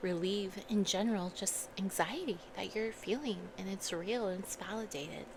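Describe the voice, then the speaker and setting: Soft-spoken, the voice comes out as a whisper. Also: woman. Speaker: ASMR creator. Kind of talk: ASMR soft-talking storytime. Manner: soft-spoken, whispery.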